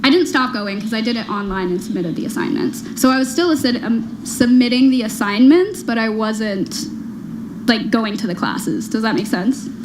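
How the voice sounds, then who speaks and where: A woman with an American accent speaks at a moderate pace in a fairly high pitch with ordinary pitch variation, with noticeable background noise and audible room echo. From US Midwest, Illinois. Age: 20s. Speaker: reality show contestant. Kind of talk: personal interview, telling her story. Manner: halting, many fillers; giggles while telling.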